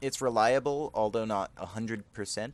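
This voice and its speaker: A man talks at a moderate pace. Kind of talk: casual gameplay commentary. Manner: tired, drowsy.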